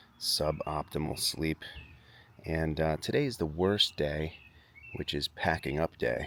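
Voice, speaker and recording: A soft-spoken man talks at a fairly slow pace. His very deep, low voice holds a fairly even intonation. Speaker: vlogger. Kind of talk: casual vlog. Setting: outdoors at campsite. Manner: hesitant, filler-heavy.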